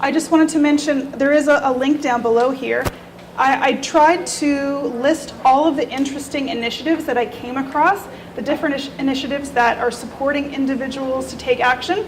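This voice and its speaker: Against noticeable background noise, a woman talks at a fairly quick pace in a high pitch with fairly even intonation. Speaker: researcher presenting a report. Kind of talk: presentation to a meetup audience. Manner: fast.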